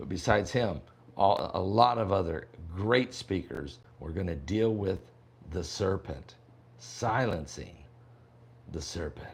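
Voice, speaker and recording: The speaker moves at a fairly slow pace with long, frequent pauses and lively intonation. Vocal fry runs through the voice. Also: man, very deep, low pitch for a man. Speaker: prophecy preacher and online pastor. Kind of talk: casual livestream chat. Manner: talking low; casual, halting with fillers.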